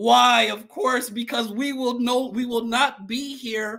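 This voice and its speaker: Against a quiet background, a man projects a raised voice with a bright, sharp tone at a very slow pace. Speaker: church host welcoming viewers. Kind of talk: livestream welcome announcements. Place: home room. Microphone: webcam.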